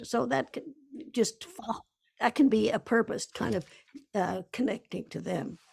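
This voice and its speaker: Her pitch sits fairly high for a woman. Vocal fry is audible in her voice. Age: 80s+. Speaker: author and researcher. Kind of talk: interview. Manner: halting.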